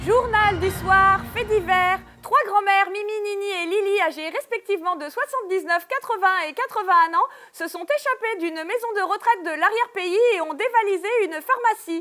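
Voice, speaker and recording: A woman projects a raised voice with an extremely high pitch and a bright, sharp tone. Her pace is moderate and her pitch varies in an ordinary way. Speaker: storyteller. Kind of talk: live stage storytelling.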